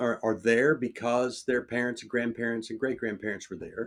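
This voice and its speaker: A man talks at a medium pitch. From Oklahoma. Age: 60s. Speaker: church leader. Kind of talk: interview conversation. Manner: halting, many fillers and repeats.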